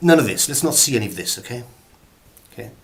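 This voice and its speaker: A man's very fast speech in a Welsh accent, serious in tone, over noticeable background noise. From Wales. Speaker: actor. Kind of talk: comic acting tutorial to camera. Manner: mock-serious, rambling.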